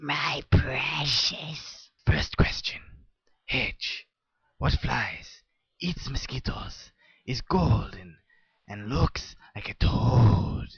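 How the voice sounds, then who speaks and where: A cartoonish character voice drags along at a very slow pace. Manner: formal, prissy.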